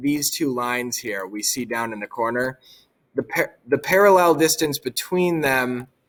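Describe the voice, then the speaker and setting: With an unremarkable speaking voice, a man talks at a fairly high pitch with lively intonation. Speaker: technology education teacher. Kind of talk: software tutorial. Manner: casual, with fillers.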